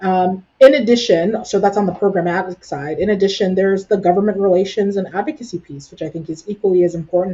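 Somewhat breathy, a woman of medium pitch speaks at a very fast pace. Her pitch varies in an ordinary way, while her loudness swings a lot. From Brampton, Ontario, Canada. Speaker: nonprofit executive director. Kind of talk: interview conversation.

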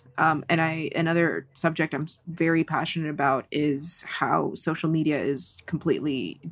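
On a very clean recording with a silent background, a woman with an American accent speaks in a very deep, low monotone with flat intonation. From Kazakhstan, moved to US at seven. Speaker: filmmaker. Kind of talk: casual interview chat. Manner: frequent filler 'like'.

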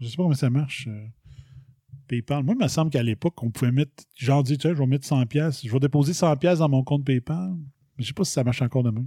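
In a Quebec accent, a man with a fairly high pitch, a dark, mellow tone and a somewhat breathy quality speaks at a very fast pace, broken by long, frequent pauses. Pitch variation is ordinary, and the sound is dry and close with no echo. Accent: Québécois French. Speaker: podcast host. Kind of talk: solo commentary monologue. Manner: casual, animated.

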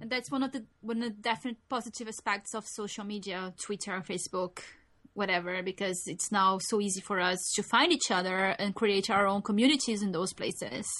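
A woman at medium pitch, bright and sharp in tone, with ordinary pitch variation and a fairly quick pace. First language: non-English. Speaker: podcast co-host. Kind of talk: casual chat.

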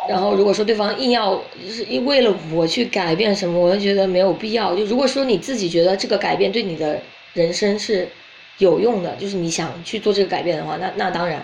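A woman talks at a fairly quick pace in a medium pitch with ordinary pitch variation. Audible room echo and noticeable background noise surround her voice. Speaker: podcast host. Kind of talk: casual chat.

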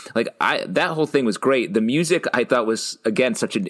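This man has an unremarkable speaking voice. His intonation is lively and his pace moderate. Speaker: podcast co-host. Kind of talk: casual chat.

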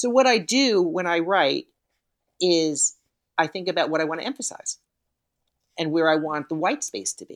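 In a New York accent, a woman with a fairly low pitch speaks with long, frequent pauses, the sound dry and close with no echo. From New York City. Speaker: yoga teacher and author. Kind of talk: casual interview chat. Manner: fast talker.

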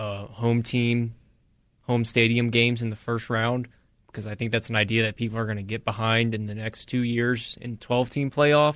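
The speaker keeps a moderate pace and a monotone, flat intonation. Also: man. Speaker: radio co-host. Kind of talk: casual sports talk banter.

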